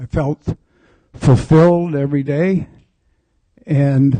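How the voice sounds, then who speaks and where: At a very slow pace, the voice sounds somewhat breathy, with a dark, mellow tone and fairly even intonation, in a dry, close sound with no echo. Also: man. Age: 70s. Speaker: audience member, photographer. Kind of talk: audience question.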